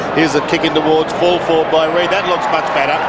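A man with an Australian accent and a fairly high pitch, over loud background noise. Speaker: play-by-play commentator. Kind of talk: live sports commentary of an Australian rules football match; sports play-by-play commentary. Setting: stadium broadcast commentary box.

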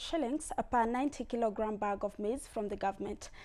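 Speaking with a Kenyan accent, a woman talks. Her pace is fairly quick. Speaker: news anchor. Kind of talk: newsreading. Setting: studio. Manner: formal, brisk, steady news-anchor delivery. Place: studio.

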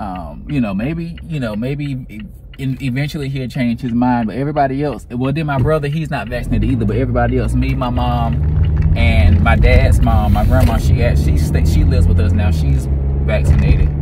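Fairly quick speech from a man, dry with no echo, against loud background noise. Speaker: vlogger. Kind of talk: casual vlog chat. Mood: concerned, reflective. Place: car. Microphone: phone near.

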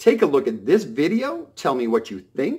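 Fairly slow speech from a man, quiet background. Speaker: vlogger. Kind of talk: casual vlog monologue. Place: home room. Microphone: phone near.

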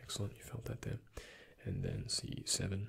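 Whispering, a man speaks in a gentle tone. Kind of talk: roleplay medical exam, soft-spoken. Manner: soft-spoken gentle ASMR murmur.

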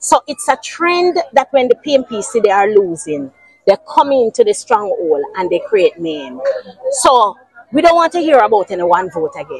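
The voice swings very widely in pitch at a moderate pace, recorded in dry sound with no echo. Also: woman, high pitch for a woman. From Jamaica. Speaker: local politician. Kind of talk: interview. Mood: upset, aggrieved. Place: street.

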